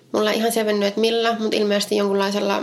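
This woman has a fairly high voice with flat, monotone intonation, heard over noticeable background noise. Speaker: podcast co-host. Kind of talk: true crime storytelling chat.

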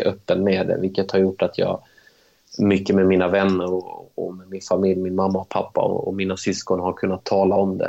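Monotone, flat intonation marks this man's speech at a moderate pace. His voice sits fairly low in pitch, with a dark, mellow tone. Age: 20s. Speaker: professional footballer. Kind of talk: interview.

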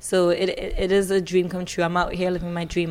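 A woman with a Trinidadian accent speaks at a fairly low pitch. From Trinidad and Tobago. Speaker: musical theatre singer. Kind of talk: casual chat. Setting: backstage at a concert venue. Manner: excitable.

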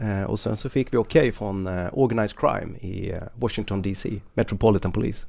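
A man speaks with a dark, mellow tone and a fairly low pitch. His pace is fairly quick, with hardly any pauses. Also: ordinary pitch variation. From Skåne, southern Sweden. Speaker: police officer. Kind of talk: casual chat.

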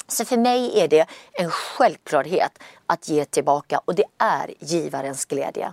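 A woman's fairly low voice, fairly slow delivery, very wide swings in pitch. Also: dry, close sound with no echo. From Gothenburg, Sweden. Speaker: entrepreneur. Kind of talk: interview.

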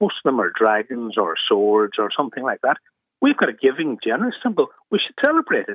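A man with an Irish accent, talking at a very fast pace. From Ireland. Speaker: radio caller. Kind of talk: radio phone-in.

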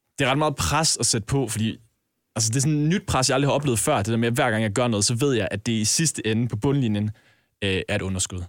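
Speaking at a very fast pace, a man holds a medium pitch with ordinary pitch variation and very even loudness. The recording is very clean, the background silent. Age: 20s. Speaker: podcast co-host, intern. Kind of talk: casual chat.

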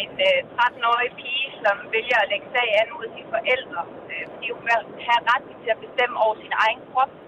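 A woman with a high voice talks at a moderate pace with fairly even intonation. Her loudness swings widely, and noticeable background noise is present. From Denmark, Korsør (Zealand). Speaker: radio caller. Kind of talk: phone-in book recommendation. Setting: phone call.

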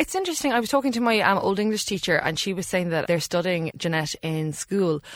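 A woman with a Cork accent talks at a very fast pace with lively intonation and hardly any pauses. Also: medium pitch for a woman. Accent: Cork Irish. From Ireland, West Cork. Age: 30s. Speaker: author. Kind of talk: casual interview. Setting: studio.

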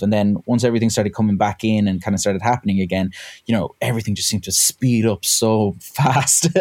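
Speaking at a very fast pace, a man with a western Irish accent has a dark, mellow tone. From West of Ireland. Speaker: electronic musician. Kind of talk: casual chat.

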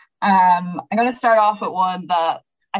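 A woman's fairly low voice, fairly even in intonation, at a fairly quick pace. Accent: Irish. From Ireland, Sligo. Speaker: podcast host. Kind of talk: casual chat.

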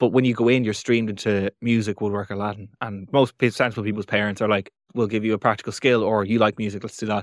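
Speaking very fast with hardly any pauses, a man with a fairly low voice keeps a flat monotone, the sound dry and close with no echo over a quiet background. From Ireland, Navan, County Meath. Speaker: comedian. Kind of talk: casual interview chat.

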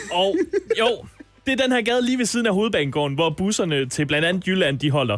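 Amid noticeable background noise, a man speaks very fast at a high pitch, with very wide pitch swings and very even loudness. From Ikast, Jutland, Denmark. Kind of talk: field report; casual chat.

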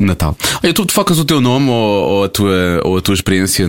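The speaker is male. His delivery moves at a moderate pace. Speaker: radio podcast host. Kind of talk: quiz game; casual chat.

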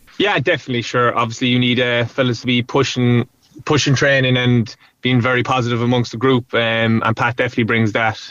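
Very even in loudness, a man with a Cork accent talks at a very fast pace and medium pitch with fairly even intonation. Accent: Cork Irish. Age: 20s. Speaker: hurler. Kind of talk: interview.

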